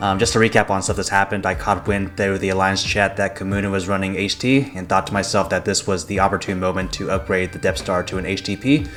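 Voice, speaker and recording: With noticeable background noise behind him, a man talks at a very fast pace and a fairly low pitch, leaving hardly any pauses. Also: fairly even intonation. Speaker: gaming YouTuber. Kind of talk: gameplay commentary.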